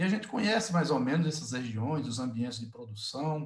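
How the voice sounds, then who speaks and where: A somewhat breathy male voice. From Northeast Brazil, Alagoas. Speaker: sugarcane industry executive. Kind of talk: webinar panel discussion. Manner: hesitant, with repetitions.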